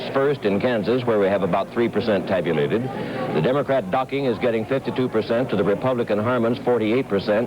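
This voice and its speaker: A man with an American accent and a fairly low pitch talks at a very fast pace with ordinary pitch variation over noticeable background noise. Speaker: news correspondent. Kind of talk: TV news report.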